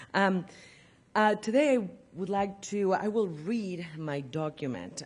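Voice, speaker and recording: A woman with a Spanish accent speaks with lively intonation, her voice carrying audible room echo. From Argentina, Buenos Aires. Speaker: professor. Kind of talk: lecture.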